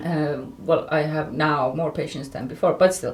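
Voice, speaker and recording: A woman with an Estonian accent speaks at a fairly low pitch with ordinary pitch variation. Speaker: journalist. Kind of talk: casual chat. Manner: halting.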